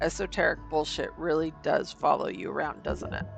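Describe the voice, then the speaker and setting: A hoarse, put-on character voice moves at a moderate pace over clear music in the background. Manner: mocking, laughing.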